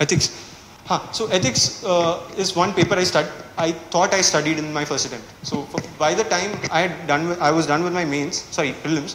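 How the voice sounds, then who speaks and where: Audible room echo and light background noise surround a man with a Kerala Indian accent, whose high-pitched voice shows ordinary pitch variation. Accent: Malayali Indian English. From India, Kerala. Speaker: civil services exam topper. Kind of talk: strategy talk to students. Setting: classroom with live audience. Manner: casual, hesitant with fillers. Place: classroom.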